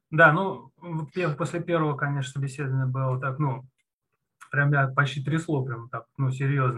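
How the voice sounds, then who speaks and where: The man's medium-pitched voice has a bright, sharp tone. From Russia, Moscow region. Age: 30s. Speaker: junior programmer, former CNC machine programmer. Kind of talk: interview. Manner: hesitant, with many fillers.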